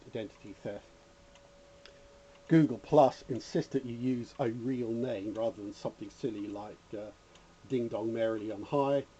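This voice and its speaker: A man speaks at a moderate pace and medium pitch. His tone is dark and mellow, with fairly even intonation. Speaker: electronics hobbyist YouTuber. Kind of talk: casual rant; tutorial. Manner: rambling, hesitant with fillers.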